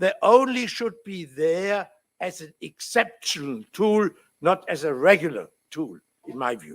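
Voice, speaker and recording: In a German accent, a man with a high voice speaks at a fairly slow pace, with very wide pitch swings and big shifts in loudness. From Germany. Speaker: law professor. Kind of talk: conference talk. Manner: halting, many fillers.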